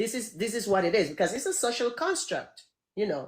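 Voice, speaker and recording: A woman speaks with a non-native accent, her pitch swinging very widely. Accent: foreign. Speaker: guest. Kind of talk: conversation.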